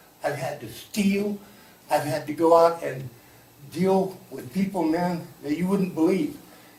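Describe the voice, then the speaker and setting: Someone speaks at a moderate pace with audible room echo. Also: man. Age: 60s. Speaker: public commenter at city forum. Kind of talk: public comment at community meeting. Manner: impassioned.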